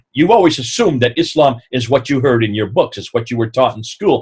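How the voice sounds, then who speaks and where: Somewhat breathy speech with an American accent. The pace is fairly quick. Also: man. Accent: sounds American. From northern India (American expatriate). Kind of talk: lecture.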